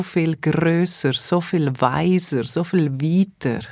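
A woman's fairly low voice with ordinary pitch variation, a Swiss accent and a very slow pace. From Switzerland, Engadin. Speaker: holistic therapist and coach. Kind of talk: casual interview. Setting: studio.

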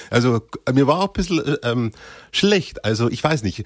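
In a very clean recording with a silent background, a man with a Bavarian accent talks at a medium pitch. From Bavaria, Upper Palatinate (Cham district). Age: 20s. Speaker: actor. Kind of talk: casual chat.

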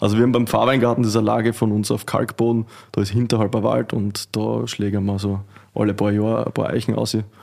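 Talking at a very fast pace, a man with a Styrian accent delivers his words in a fairly low voice with monotone, flat intonation. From Austria, Styria. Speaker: winemaker. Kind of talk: casual chat.

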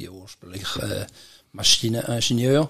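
With a Swiss accent, a man talks at a medium pitch with ordinary pitch variation. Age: 70s. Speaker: entrepreneur and inventor. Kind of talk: interview.

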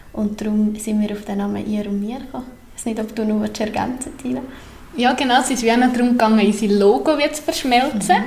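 The speech moves at a fairly quick pace with ordinary pitch variation, accompanied by audible room echo and noticeable background noise. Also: woman, fairly high pitch for a woman. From Central Switzerland (Obwalden). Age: 30s. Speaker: complementary therapist. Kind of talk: podcast interview. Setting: newly renovated room, not a studio.

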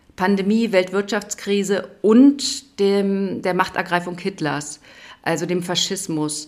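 Speaking at a fairly slow pace, a woman uses a medium pitch with ordinary variation. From East Berlin. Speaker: theatre director. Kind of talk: interview.

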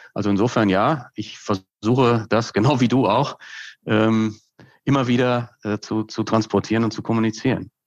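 Against a quiet background, a man uses a normal speaking voice at a medium pitch. His pace is moderate and his intonation fairly even. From Westphalia, Germany (Hagen, edge of Ruhr area). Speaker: brand consultant and professor. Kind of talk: conversational interview.

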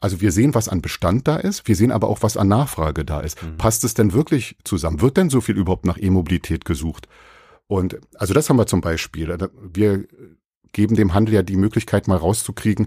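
A man with a dark, mellow, somewhat breathy voice of fairly low pitch speaks at a fairly quick pace with lively intonation. The recording is very clean, with a silent background. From Brandenburg, Germany. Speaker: online car marketplace marketing manager. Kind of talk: casual interview chat. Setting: guest's company office.

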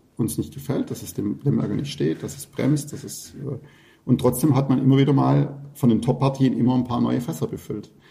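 This man has a medium-pitched voice with a dark, mellow tone and vocal fry, and he talks at a fairly quick pace. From Swabia, Württemberg (Fellbach near Stuttgart). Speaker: winemaker. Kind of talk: casual chat.

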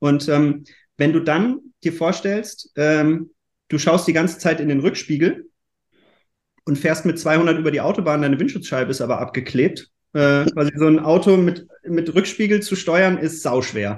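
Against a quiet background, a man speaks at a moderate pace. His pitch is fairly high, with ordinary variation. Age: 30s. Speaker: startup founder. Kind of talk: interview. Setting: virtual recording studio. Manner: hesitant, with fillers.

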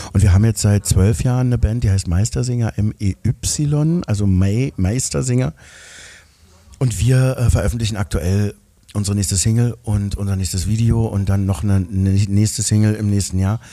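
The man's tone is dark and mellow. He talks at a moderate pace. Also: fairly low pitch for a man, ordinary pitch variation. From East Berlin. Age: 50s. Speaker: actor and singer. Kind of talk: casual chat. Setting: restaurant.

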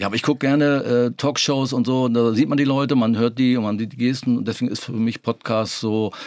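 This man talks at a fairly quick pace. He has an ordinary speaking voice of medium pitch. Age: 60s. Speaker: podcast co-host, retiree. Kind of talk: casual chat.

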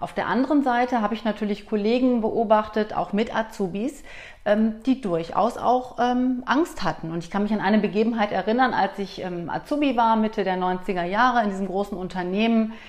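A woman's fairly high voice with ordinary pitch variation, an ordinary speaking voice. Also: moderate pace. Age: 40s. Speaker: company director and coach. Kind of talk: interview conversation.

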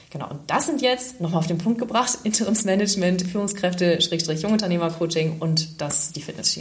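Background noise is clearly audible. A woman speaks fairly quickly over it. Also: fairly low pitch for a woman, ordinary pitch variation, hardly any pauses. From northern Germany, Schleswig-Holstein. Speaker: life coach and fitness trainer. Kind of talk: casual interview.

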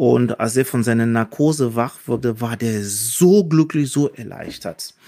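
Here is a man speaking. His voice has a medium pitch. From Cameroon. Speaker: surgeon and proctologist. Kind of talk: casual interview, telling anecdotes. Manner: hesitant with fillers.

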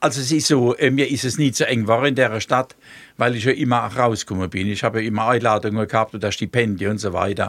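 A man at a very fast pace, medium pitch, and ordinary pitch variation. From Palatinate, Germany (Speyer). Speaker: artist and dialect musician. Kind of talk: casual interview.

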